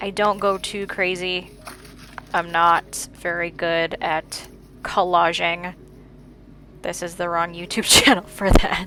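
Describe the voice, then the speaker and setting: A woman's fairly low voice at a very slow pace, flat and monotone, with long, frequent pauses and noticeable background noise. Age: 30s. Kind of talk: casual voice-over for a plan-with-me video. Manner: dry humor.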